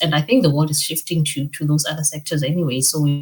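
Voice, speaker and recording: A woman with a Botswana accent speaks in a very deep, low voice. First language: Setswana. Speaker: financial education founder and meteorologist. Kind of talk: podcast interview. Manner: hesitant, many fillers and repetitions.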